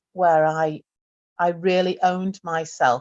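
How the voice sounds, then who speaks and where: A woman with a Yorkshire accent, medium pitch and fairly slow pace, in dry, close sound with no echo. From northern England, Doncaster. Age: 50s. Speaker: retired psychiatric nurse. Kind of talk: interview testimony. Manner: halting, many repetitions and fillers.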